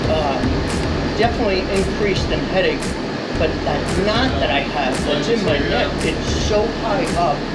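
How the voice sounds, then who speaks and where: Loud background noise behind a man, his pitch varying in an ordinary way. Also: moderate pace. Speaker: vlogger. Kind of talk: casual vlog chat. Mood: shivering, excited.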